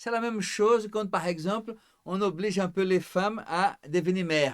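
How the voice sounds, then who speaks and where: A man talks at a moderate pace, his high voice showing ordinary pitch variation. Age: 60s. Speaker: psychologist. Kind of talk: casual chat. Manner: formal.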